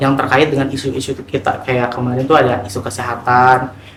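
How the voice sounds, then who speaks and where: Speech comes at a fairly quick pace in a monotone, flat delivery, with audible room echo and noticeable background noise. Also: man. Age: 20s. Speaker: NGO finance worker, HIV outreach. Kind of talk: documentary interview. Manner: casual with frequent fillers.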